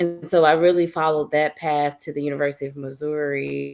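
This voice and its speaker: A woman's very deep, low pitch at a moderate pace. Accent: American. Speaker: news director. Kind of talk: panel discussion.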